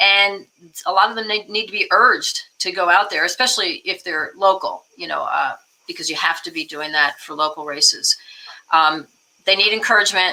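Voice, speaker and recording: This is an unremarkable speaking voice at a moderate pace. Its intonation stays fairly even. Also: woman. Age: 60s. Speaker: political activist and singer-songwriter. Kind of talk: interview.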